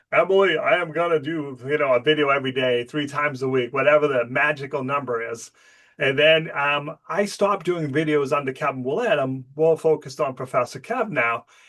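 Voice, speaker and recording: Here a man speaks at a fairly quick pace with hardly any pauses. His pitch shows ordinary variation. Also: fairly high pitch for a man. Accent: Boston. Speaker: business show host and professor. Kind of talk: casual interview.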